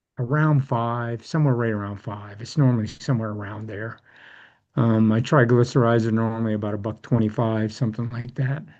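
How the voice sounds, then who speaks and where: A man speaks in a normal speaking voice at medium pitch and a fairly quick pace. His intonation is fairly even, and the background is quiet. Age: 60s. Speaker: support group member sharing testimony. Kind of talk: casual group chat.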